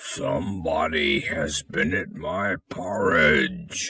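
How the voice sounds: A man puts on a character voice, gruff and raspy with a very deep, low pitch. He speaks at a very slow pace.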